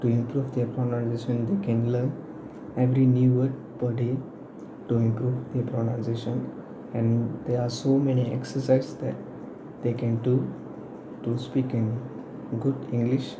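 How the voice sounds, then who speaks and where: A man's medium-pitched, monotone, flat delivery at a moderate pace, with long, frequent pauses, noticeable background noise and audible room echo. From Malaysia. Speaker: university student. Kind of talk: class presentation. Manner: halting, with many fillers.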